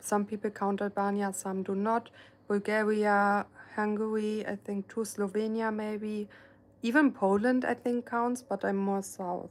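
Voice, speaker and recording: A woman's medium-pitched voice with a German accent, monotone and flat, at a fairly slow pace. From Germany. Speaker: painter and live streamer. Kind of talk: casual live stream chat. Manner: soft-spoken; hesitant, many fillers.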